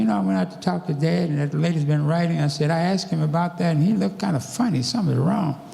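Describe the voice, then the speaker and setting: Fairly high-pitched man at a very fast pace with lively intonation, amid audible room echo and noticeable background noise. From US South. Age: 80s+. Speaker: civil rights activist and former police officer. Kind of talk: church talk, personal testimony. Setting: church.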